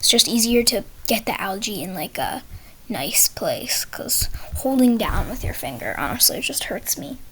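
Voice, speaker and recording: A moderately paced whisper against noticeable background noise. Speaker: gaming tutorial creator. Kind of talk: tutorial. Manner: halting, with fillers.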